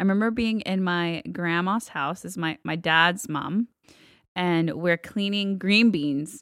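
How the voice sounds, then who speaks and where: A woman with an American accent speaks at a fairly slow pace in a fairly low pitch, in an ordinary speaking voice with ordinary pitch variation. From Texas, Guatemalan-born. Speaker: worship leader. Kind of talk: interview, personal testimony.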